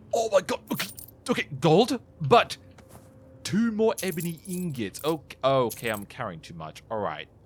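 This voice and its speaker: A man with a high pitch speaks at a moderate pace, his pitch swinging very widely and his loudness varying a great deal. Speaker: gaming video creator. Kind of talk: let's play commentary. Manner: excitable.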